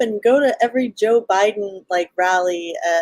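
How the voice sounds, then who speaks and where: Her Southern Californian accent is paired with lively intonation as a woman speaks at a fairly high pitch and a fairly slow pace. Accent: Valley Girl. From Los Angeles, California. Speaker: festival organizer, libertarian guest. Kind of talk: casual interview on livestream.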